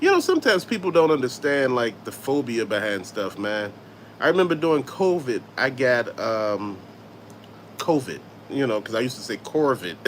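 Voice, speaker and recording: With an American accent, a man talks at a moderate pace in a medium-pitched voice, his tone animated and his intonation lively. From US South. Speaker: YouTube host, toy collector. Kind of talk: casual live-stream chat.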